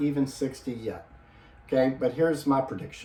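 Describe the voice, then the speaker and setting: A man with an unremarkable speaking voice talks at a fairly quick pace with fairly even intonation. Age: 50s. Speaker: fitness vlogger. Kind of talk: casual video vlog. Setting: home gym in spare bedroom. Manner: casual, with filler words.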